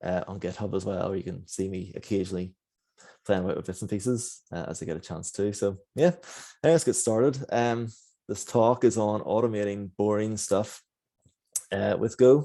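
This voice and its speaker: A dark, mellow tone in a Northern Irish accent, with ordinary pitch variation over a quiet background. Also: man, big swings in loudness. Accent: Northern Irish (Belfast). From Northern Ireland, Belfast. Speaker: software engineer. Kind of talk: conference talk. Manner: fast.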